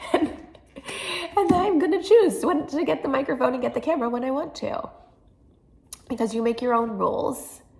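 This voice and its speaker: A woman speaks in a high pitch. Noticeable background noise runs behind her. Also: fairly quick pace. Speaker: tarot reader and social worker. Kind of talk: guided tarot reading monologue.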